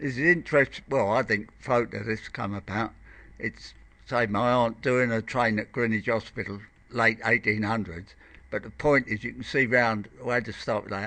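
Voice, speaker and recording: At a moderate pace, the voice has a bright, sharp tone and fairly even intonation. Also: man, medium pitch for a man. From southeast London. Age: 70s. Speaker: local resident. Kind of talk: oral history interview. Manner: halting.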